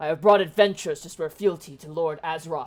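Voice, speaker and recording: A man uses a put-on character voice pitched high. His intonation is fairly even while his loudness swings widely. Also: fairly quick pace. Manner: gruff, brutish.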